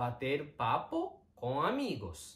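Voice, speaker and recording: A man talks with a Japanese accent at a medium pitch. Vocal fry colors his voice. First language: Japanese (speaking Portuguese). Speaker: Japanese teacher. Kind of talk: online language lesson.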